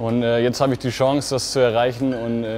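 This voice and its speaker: In a monotone, flat intonation, a man speaks at a moderate pace over faint music in the background. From Germany, Fulda (Hesse); Hesse. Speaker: competitive swimmer. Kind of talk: interview answers to camera. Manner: hesitant with fillers. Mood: relaxed, friendly, smiling. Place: hall. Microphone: lapel.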